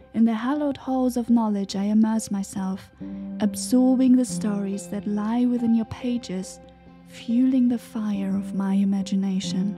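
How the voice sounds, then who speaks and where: Against music in the background, a woman speaks at a medium pitch and moderate pace with fairly even intonation. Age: young. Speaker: poet. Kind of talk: poetry reading.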